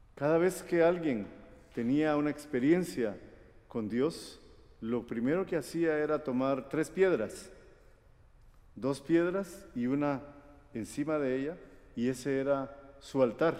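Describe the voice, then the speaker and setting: This man speaks at a very slow pace with long, frequent pauses. His fairly high voice has a dark, mellow tone. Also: ordinary pitch variation. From Guatemala. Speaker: preacher. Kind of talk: sermon.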